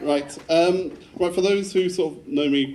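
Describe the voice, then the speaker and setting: A man speaks with a Devon accent. Noticeable background noise is present. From England, Devon. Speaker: groom. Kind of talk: wedding speech. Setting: wedding reception with audience. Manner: fast.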